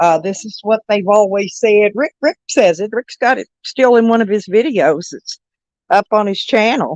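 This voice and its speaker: In a plain, everyday voice with lively intonation, a woman speaks at a fairly high pitch with big swings in loudness, the sound dry and close with no echo. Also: moderate pace. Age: 60s. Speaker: livestreamer. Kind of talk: casual chat.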